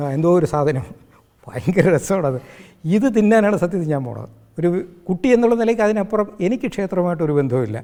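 Here is a man with a dark, mellow tone. His intonation is lively. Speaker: spiritual teacher and healing centre founder. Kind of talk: spiritual discourse interview.

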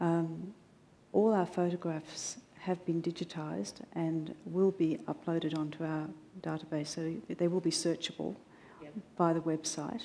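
A woman's dark, mellow tone at a fairly low pitch, in an Australian accent, at a fairly slow pace. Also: ordinary pitch variation. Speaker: museum registration staff; presenter. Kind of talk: public talk. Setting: stage with audience. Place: hall. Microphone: headset.

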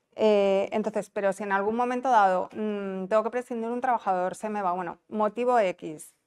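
A woman's fairly high voice at a moderate pace, with fairly even intonation over a quiet background. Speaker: tax office specialist. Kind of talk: conference talk. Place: hall. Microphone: lapel.

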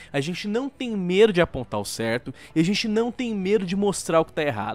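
Speaking at a moderate pace, the man lets his pitch swing very widely. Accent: Brazilian. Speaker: gaming YouTuber. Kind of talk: angry rant. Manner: sarcastic, heated.

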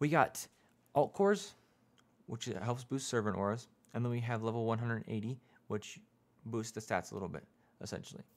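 Soft-spoken delivery moves at a fairly quick pace, broken by long, frequent pauses, with ordinary pitch variation. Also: man. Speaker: gaming YouTuber; gaming content creator. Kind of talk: casual game tutorial. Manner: quiet, soft-spoken; informal. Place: home room. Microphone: studio mic.

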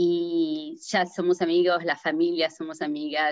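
A woman with an Argentine accent speaks very slowly at a fairly low pitch with ordinary pitch variation, in a dry sound with no echo and a quiet background. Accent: Argentine Spanish (Rioplatense). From New Jersey, US (Argentine-born, moved at seven). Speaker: accident survivor sharing her story; interview guest. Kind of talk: testimony; interview answer, personal story. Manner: halting, many fillers. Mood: earnest, recounting a tragedy. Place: home room. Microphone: video call.

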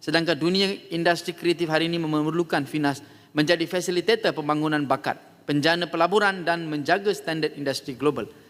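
Fairly quick pace and fairly even intonation. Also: man, high pitch for a man. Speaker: member of parliament. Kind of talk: parliament debate speech, formal oratory. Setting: parliament hall. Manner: formal, measured; earnest, persuasive, rounding off with a polite closing appeal.

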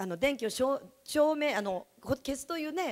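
A woman speaks in a high pitch with very wide pitch swings. Her tone is animated, and the background is quiet. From Japan, Yamanashi; Japan. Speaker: direct sales distributor, former teacher. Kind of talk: sales seminar talk. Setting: stage with audience. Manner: fast. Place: meeting room. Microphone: handheld.

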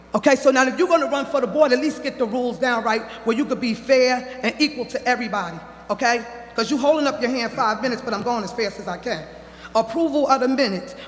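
A man talks at a very fast pace with an extremely high pitch and ordinary pitch variation. Noticeable background noise runs underneath. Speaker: parent speaking at public comment. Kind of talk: public comment at board meeting. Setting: public meeting at microphone. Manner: heated.

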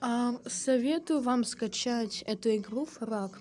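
A woman is heard here. Her voice sits fairly high in pitch. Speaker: gaming youtuber. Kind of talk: gameplay commentary. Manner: animated.

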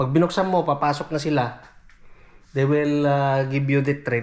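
A man's voice, fairly high in pitch, at a moderate pace. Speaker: vlogger, OFW domestic worker. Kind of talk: casual vlog narration.

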